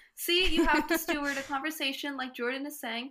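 Raised, projected female voice, high in pitch and bright and sharp in tone, at a very fast pace with fairly even intonation. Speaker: podcast co-host and dancer. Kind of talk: casual interview chat.

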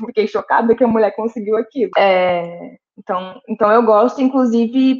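A woman with an unremarkable speaking voice talks at a fairly high pitch and moderate pace, with ordinary pitch variation. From Brazil, Santos. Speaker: podcast co-host, film critic. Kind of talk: casual chat.

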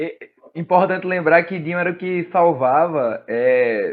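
Speaking at a fairly slow pace, a man with a fairly high pitch and ordinary pitch variation has an ordinary speaking voice. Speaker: podcast host. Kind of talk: casual chat.

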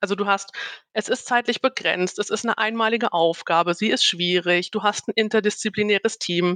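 A woman with a normal speaking voice talks fairly quickly at a medium pitch, with very even loudness and fairly even intonation, in a dry, close sound with no echo. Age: 30s. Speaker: game master and team-building facilitator. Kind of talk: casual interview chat.

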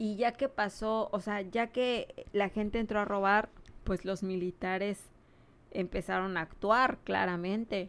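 A woman speaks in an unremarkable speaking voice with fairly even intonation. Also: medium pitch for a woman. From Mexico, Cancún. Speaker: hurricane survivor sharing experiences. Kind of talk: casual chat.

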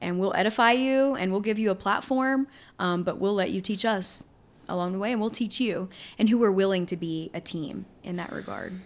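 A woman with a Louisiana accent and medium pitch talks at a fairly quick pace in a very clean recording with a silent background. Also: ordinary pitch variation. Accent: Southern US (Louisiana). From Southwest Louisiana. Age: 30s. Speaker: preparedness instructor. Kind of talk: casual chat.

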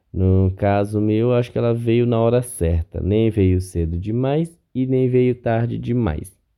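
A man speaks at a fairly slow pace in an ordinary speaking voice. His pitch is fairly low, with ordinary pitch variation. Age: 30s. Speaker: podcast host. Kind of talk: solo podcast monologue. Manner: casual, conversational.

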